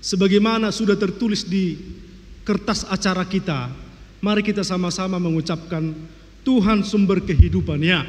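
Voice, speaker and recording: Spoken at a moderate pace with fairly even intonation, the voice carries some audible room echo. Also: man, high pitch for a man. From North Sumatra, Tarutung (Batak Toba). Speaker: pastor. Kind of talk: sermon.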